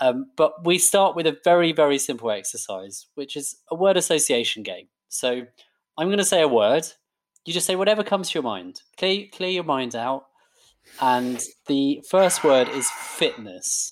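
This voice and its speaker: Lively intonation at a moderate pace from a man with a fairly high pitch. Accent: British. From UK, Indian heritage. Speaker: podcast host. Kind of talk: interview.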